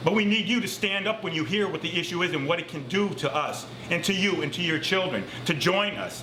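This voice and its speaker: There is noticeable background noise and audible room echo. A man with an American accent talks at a moderate pace. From Massachusetts, US. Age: 60s. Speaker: climate activist. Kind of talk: recorded statement. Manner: impassioned.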